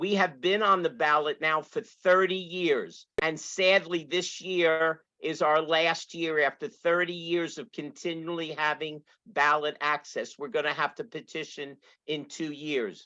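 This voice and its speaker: A woman with a Brooklyn accent, fairly low pitch and bright, sharp tone, at a fairly slow pace with fairly even intonation and hardly any pauses. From New York City and New Jersey. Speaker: political candidate, retired teacher. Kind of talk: rally speech.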